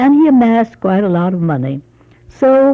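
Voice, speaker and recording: A woman with an American accent, a moderate pace and very wide pitch swings. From Los Angeles, California. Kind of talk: oral history interview, recalling childhood.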